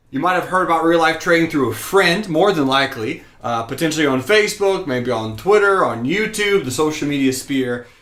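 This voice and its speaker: A man's high-pitched voice with an American accent, energetic and enthusiastic, with audible room echo. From US South (rural Georgia). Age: 20s. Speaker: stock trading teacher. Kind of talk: live-streamed class. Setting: live broadcast at home desk. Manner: energetic, enthusiastic.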